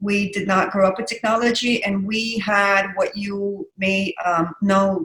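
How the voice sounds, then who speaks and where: Speaking at a very slow pace, a woman with a slight Russian accent has a bright, sharp tone. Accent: slight Russian accent with American English. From Russia, Saint Petersburg. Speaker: digital wellness practitioner. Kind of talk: casual interview chat.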